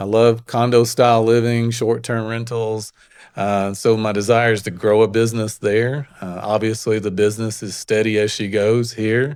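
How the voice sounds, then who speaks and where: With a strong Alabama accent, a man talks at a moderate pace in a medium-pitched, monotone, flat delivery. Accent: Southern US (Alabama), strong. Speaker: real estate agent. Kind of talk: interview. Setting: studio.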